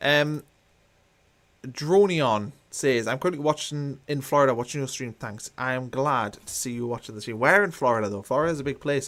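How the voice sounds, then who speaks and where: A man speaks at a fairly quick pace with a medium pitch and ordinary pitch variation, in an ordinary speaking voice. The recording is very clean, with a silent background. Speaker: football YouTuber. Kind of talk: live watchalong commentary.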